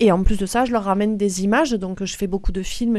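A woman speaks at a fairly quick pace in a medium pitch. Hers is a normal speaking voice, with fairly even intonation. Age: 40s. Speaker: nurse and semi-professional athlete. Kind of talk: interview.

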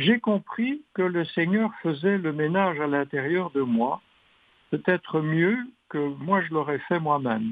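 A man with a high voice speaks very slowly, his intonation lively. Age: 80s+. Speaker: retired catechist, retreat participant. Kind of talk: recorded testimony.

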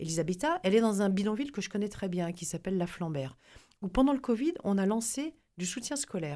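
In a very clean recording with a silent background, a woman with a dark, mellow tone swings her pitch very widely. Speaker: journalist and former MP. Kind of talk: radio interview. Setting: studio.

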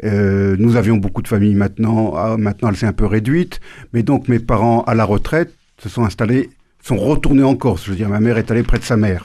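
Against a quiet background, a man speaks in a fairly low pitch with a dark, mellow tone and ordinary pitch variation. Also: fairly quick pace. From Normandy, France, family from Tunisia and Corsica. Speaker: former humanitarian worker and author. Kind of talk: radio interview.

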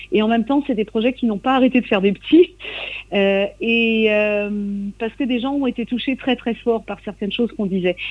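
A woman at a fairly high pitch, with ordinary pitch variation and a moderate pace. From Brittany, Côte de Granit Rose (Lannion area). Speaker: traditional singer. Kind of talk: radio interview. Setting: remote interview from Brittany. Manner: halting, many repetitions and hesitations.

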